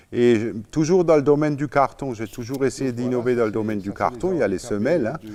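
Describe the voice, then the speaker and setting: A man speaks at a medium pitch. His pace is fairly quick, with ordinary pitch variation. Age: 60s. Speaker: inventor and business owner. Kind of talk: interview. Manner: halting.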